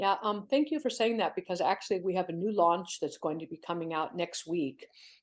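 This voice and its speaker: At a fairly quick pace, a woman speaks at medium pitch in a plain, everyday voice. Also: lively intonation. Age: 60s. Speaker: CEO of an online community for people over fifty. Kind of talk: podcast interview.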